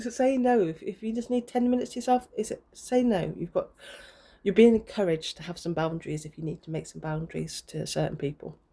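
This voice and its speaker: A woman talks at a very fast pace in a somewhat breathy voice. Her intonation is lively and her loudness swings widely. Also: medium pitch for a woman. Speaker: tarot reader. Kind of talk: tarot reading monologue. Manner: halting, many fillers.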